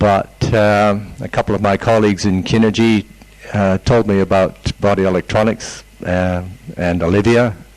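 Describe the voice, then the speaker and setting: Noticeable background noise sits behind a man who speaks at a moderate pace in a fairly low pitch with monotone, flat intonation. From Canada. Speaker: seminar participant. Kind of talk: self-introduction to group.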